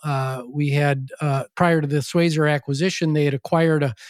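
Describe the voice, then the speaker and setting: A man with an Upper Midwest accent at a fairly high pitch, monotone, flat intonation and moderate pace, in a dry, close sound with no echo on a very clean recording with a silent background. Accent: Upper Midwest American. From US Midwest, western Wisconsin (La Crosse). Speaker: former education company CEO and author. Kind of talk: interview.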